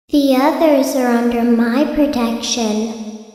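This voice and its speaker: A put-on character voice, female-sounding and high-pitched, at a fairly slow pace with strong echo. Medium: fan dub.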